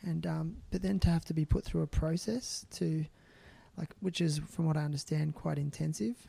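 A man talks in an Australian accent at a fairly high pitch. His tone is dark and mellow. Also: ordinary pitch variation, moderate pace. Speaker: podcast host. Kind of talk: casual interview chat.

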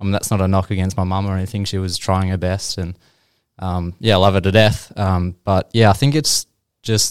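Very deep and low in pitch, a man with an Australian accent talks at a fairly quick pace with fairly even intonation, on a very clean recording with a silent background and a dry, close sound with no echo. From Australia, Geelong. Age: 20s. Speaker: real estate agent. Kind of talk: casual interview.

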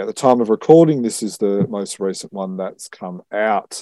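With an Australian accent, a man speaks in a dark, mellow tone, captured dry and close without any echo. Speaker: podcast host. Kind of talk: casual chat.

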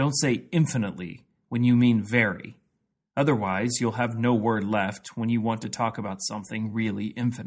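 A man with a Midwestern American accent talks at a moderate pace in a medium pitch. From US Midwest, Missouri (Jefferson City). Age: 30s. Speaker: pastor and podcast host. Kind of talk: scripted narration.

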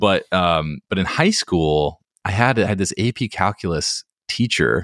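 This man has a plain, everyday voice with lively intonation. He speaks at a fairly slow pace, and the sound is dry and close with no echo. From North Carolina (Hickory). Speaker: entrepreneur and real estate investor. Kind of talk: interview.

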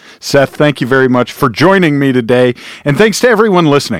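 A man talks in a normal speaking voice at a fairly quick pace and fairly high pitch. The recording is very clean with a silent background, the sound dry and close with no echo. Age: 40s. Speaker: podcast host. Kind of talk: casual interview. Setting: studio.

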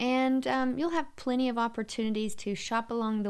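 With a Southern US accent, a woman talks in a fairly high voice. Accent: Southern American. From US South, Louisiana (Shreveport). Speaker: podcast co-host and tour guide. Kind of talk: casual chat.

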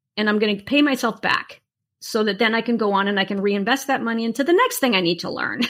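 A woman's voice with ordinary pitch variation. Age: 60s. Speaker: artist and online art teacher. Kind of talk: interview. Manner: animated.

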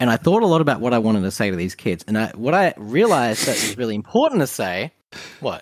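An Australian-accented man at a very fast pace, with very wide pitch swings. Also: medium pitch for a man. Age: 30s. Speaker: video game designer. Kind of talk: casual chat. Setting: video call.

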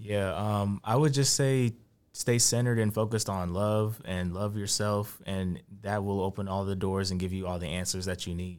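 A man has a normal speaking voice with a fairly low pitch and fairly even intonation. He talks at a moderate pace in a very clean recording with a silent background. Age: 20s. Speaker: tech entrepreneur. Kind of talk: casual chat.

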